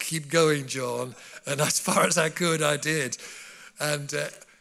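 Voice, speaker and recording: A man with a bright, sharp tone speaks in a fairly high pitch with ordinary pitch variation. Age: 70s. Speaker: preacher. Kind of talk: sermon. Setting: church.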